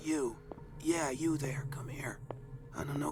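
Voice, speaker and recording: A put-on character voice sits at a low-to-middle pitch and moves at a fairly slow pace. Faint music plays in the background. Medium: machinima. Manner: blunt, terse.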